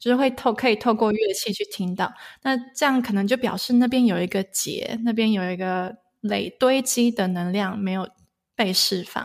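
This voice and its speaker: A woman at a fairly high pitch with ordinary pitch variation and a moderate pace, on a very clean recording with a silent background. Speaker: sound healer. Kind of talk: interview. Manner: hesitant fillers.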